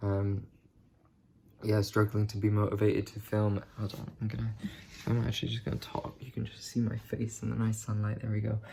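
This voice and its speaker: Over noticeable background noise, a man speaks fairly quickly in a fairly low, monotone voice with flat intonation. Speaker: vlogger. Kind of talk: casual talk to camera.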